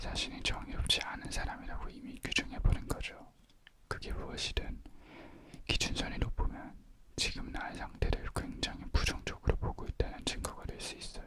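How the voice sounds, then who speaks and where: The speaker is whispering over noticeable background noise. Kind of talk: ASMR book reading. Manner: whispered.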